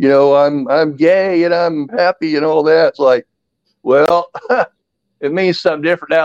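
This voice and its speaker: An ordinary speaking voice with an American accent moves at a fairly quick pace. The sound is dry and close, with no echo. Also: man. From Indiana (West Lafayette). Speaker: podcast guest, sports commentator. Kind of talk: casual chat.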